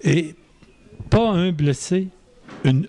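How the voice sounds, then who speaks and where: The man's tone is dark and mellow. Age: 70s. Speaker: Marianist missionary priest. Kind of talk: interview answer.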